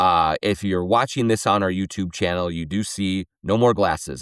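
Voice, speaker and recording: A man with a very deep, low voice talks at a moderate pace, his pitch varying in an ordinary way. The sound is dry and close with no echo, on a very clean recording with a silent background. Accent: American. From Minnesota. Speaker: sports podcast host. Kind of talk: solo podcast commentary with host-read ads. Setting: studio.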